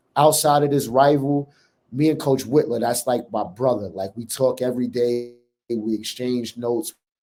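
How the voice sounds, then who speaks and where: With a strong New York accent, a man speaks at a moderate pace in a dark, mellow tone and fairly even intonation. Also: medium pitch for a man. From New York City. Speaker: college basketball head coach. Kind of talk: interview.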